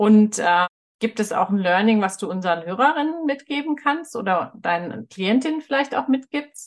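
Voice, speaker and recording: Very wide pitch swings and a moderate tempo from a woman with a fairly high voice. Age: 40s. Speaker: podcast host. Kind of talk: interview.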